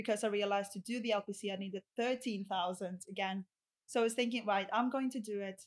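The speaker has a Greek accent and a moderate pace. The intonation stays flat, a monotone throughout. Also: woman. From Greece (Rhodes). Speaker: solicitor. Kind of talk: casual chat.

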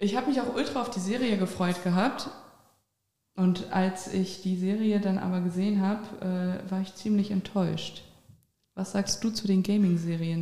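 A woman talks in an unremarkable speaking voice at medium pitch. Her pace is moderate and her intonation fairly even. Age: 20s. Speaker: podcast host. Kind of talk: casual interview.

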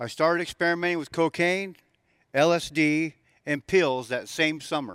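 Recorded very cleanly, dry and close with no echo and a silent background, a man with an American accent and an unremarkable speaking voice talks at a moderate pace, fairly high in pitch with ordinary pitch variation. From Southern California. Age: 60s. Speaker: recovery testimony speaker, former prisoner. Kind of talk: testimony.

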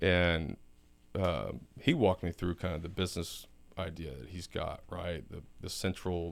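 With a Texan accent, a man speaks at a very deep, low pitch and with fairly even intonation, in a very clean recording with a silent background. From South Texas. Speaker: oilfield business executive. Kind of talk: casual interview.

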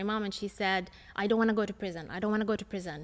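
In a very clean recording with a silent background, a woman's bright, sharp voice keeps a fairly even intonation. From Palestine, Ramallah. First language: Arabic. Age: 30s. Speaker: lawyer and human rights activist. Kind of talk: interview. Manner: hesitant with many fillers.

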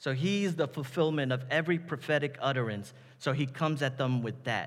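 Here a man talks with an American accent. He keeps a fairly slow pace. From New York City, the Bronx. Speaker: pastor. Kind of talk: sermon.

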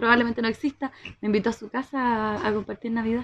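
Speaking at a very fast pace with fairly even intonation, a woman with a fairly high pitch sounds dry and close with no echo over a quiet background. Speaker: podcast co-host. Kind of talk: casual chat.

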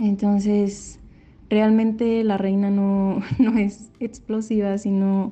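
A woman with a fairly high pitch speaks in a dark, mellow tone that is somewhat breathy. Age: 20s. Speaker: university student and amateur actor. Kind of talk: recorded testimony about acting role.

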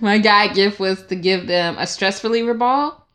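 A woman with an American accent speaks at a medium pitch in an animated, bright, sharp tone. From Georgia, US (Stone Mountain). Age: 20s. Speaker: software engineer. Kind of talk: casual chat.

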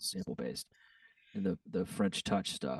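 In a dry, close sound with no echo, a man with an American accent speaks at a moderate pace. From Texas. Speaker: DJ and music producer. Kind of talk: casual chat.

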